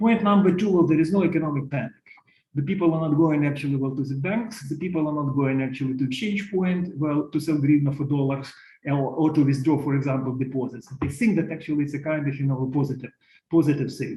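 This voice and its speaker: Very fast and somewhat breathy, a man talks at a fairly high pitch in a dark, mellow tone. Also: ordinary pitch variation. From Ukraine. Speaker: economist panelist. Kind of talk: online panel presentation. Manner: halting, many fillers.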